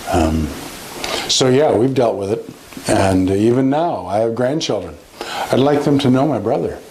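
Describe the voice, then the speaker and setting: Amid noticeable background noise and audible room echo, a man talks at a fairly slow pace in a medium pitch, with lively intonation and very even loudness. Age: 60s. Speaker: police chaplain. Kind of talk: interview testimony. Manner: halting, with many fillers.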